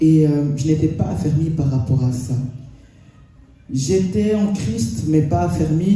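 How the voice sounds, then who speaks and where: A fairly high-pitched man's voice with audible room echo and music in the background. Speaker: preacher. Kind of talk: sermon.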